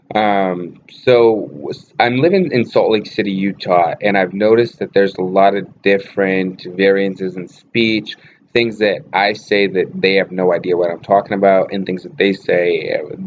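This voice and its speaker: A man's fairly low voice with an American accent, at a moderate pace. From Boston area, Massachusetts. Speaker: vlogger, actor and model. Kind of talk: casual vlog talk. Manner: casual, with many fillers.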